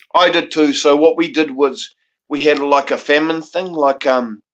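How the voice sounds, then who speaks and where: A man with a New Zealand accent, fairly high-pitched, at a moderate pace. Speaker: panel guest. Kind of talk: casual chat.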